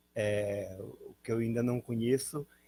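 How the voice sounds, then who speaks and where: A man's fairly low, somewhat breathy voice, dark and mellow in tone, with fairly even intonation and a dry, close sound with no echo. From northern Paraná, Brazil (Apucarana). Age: 70s. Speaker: former participant in constitution drafting. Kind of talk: interview, life story.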